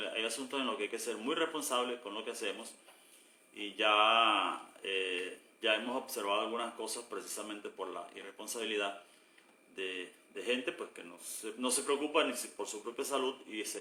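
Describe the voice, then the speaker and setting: Noticeable background noise sits under a man talking at a moderate pace, his medium pitch showing ordinary variation. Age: 60s. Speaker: pastor. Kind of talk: casual chat. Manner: halting.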